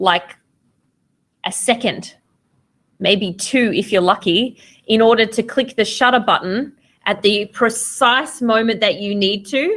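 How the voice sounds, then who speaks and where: Pausing long and often, a woman with an Australian accent speaks at a fairly high pitch. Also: ordinary pitch variation, fairly slow pace. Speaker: photography teacher. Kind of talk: lecture. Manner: casual with frequent fillers.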